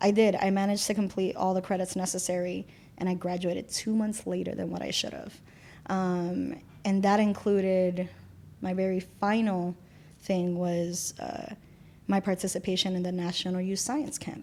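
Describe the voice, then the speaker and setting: A woman with a Spanish accent speaks at a medium pitch and a moderate pace. Her tone is dark and mellow, and her intonation is monotone and flat. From Puerto Rico. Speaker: community volunteer. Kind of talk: interview conversation. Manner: casual with many fillers.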